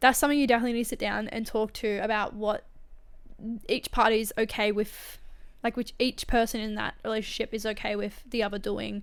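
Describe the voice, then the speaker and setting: A woman with vocal fry talks at a fairly quick pace in a very clean recording with a silent background. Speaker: podcast host reading and commenting on online stories. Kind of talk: reading aloud with casual commentary. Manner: fast; animated.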